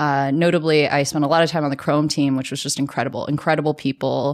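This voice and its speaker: A woman's very deep, low voice in a very clean recording with a silent background. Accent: American. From US South, Birmingham, Alabama. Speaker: startup founder and CEO. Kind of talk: interview.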